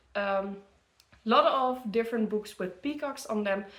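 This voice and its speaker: A woman speaks in a fairly high pitch with a Dutch accent. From Netherlands. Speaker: book content creator. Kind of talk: casual product review. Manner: halting, many fillers.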